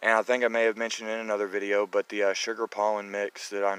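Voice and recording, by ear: A man speaks at a fairly low pitch with little pitch movement. His tone is clear and smooth, and fairly bright.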